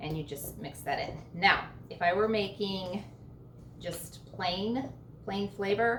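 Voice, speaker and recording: Amid noticeable background noise and audible room echo, a woman speaks very slowly at a medium pitch with ordinary pitch variation. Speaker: home baking channel host. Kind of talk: cooking tutorial. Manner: casual, filler-heavy.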